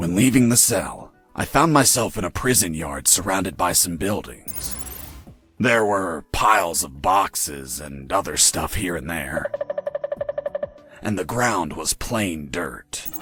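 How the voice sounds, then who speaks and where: A man's raspy, put-on character voice, very deep and low in pitch, with very wide pitch swings, a fairly slow pace, long and frequent pauses, and faint music in the background. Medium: video game. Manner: deadpan, sarcastic.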